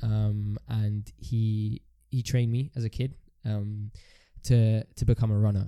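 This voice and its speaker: A dark, mellow tone delivered in a monotone, flat line comes through on a very clean recording with a silent background and a dry, close sound with no echo. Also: man. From Ethiopian heritage. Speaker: podcast co-host. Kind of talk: casual chat.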